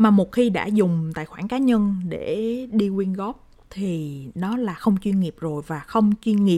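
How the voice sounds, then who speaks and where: A woman at a medium pitch and a very slow pace, with ordinary pitch variation. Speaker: podcast host. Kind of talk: casual monologue. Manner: hesitant with fillers.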